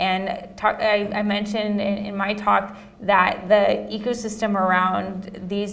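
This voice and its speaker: A woman speaks at a medium pitch in a monotone, flat intonation. Audible room echo and noticeable background noise fill the recording. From US West Coast. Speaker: panel moderator, researcher. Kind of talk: panel discussion.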